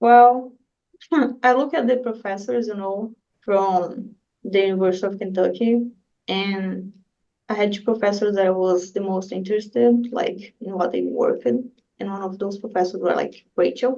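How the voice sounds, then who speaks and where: A dark, mellow tone at a moderate pace, with ordinary pitch variation and a Brazilian accent. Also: woman, medium pitch for a woman. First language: Portuguese. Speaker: graduate student researcher. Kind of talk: interview.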